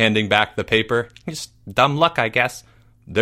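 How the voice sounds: A natural reading voice carries the clip. Ordinary pitch variation runs through it.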